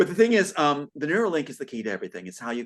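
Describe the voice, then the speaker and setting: Talking at a very fast pace, a man with fairly high pitch makes very wide pitch swings. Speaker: guest on talk show. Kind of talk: casual conversation. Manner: animated.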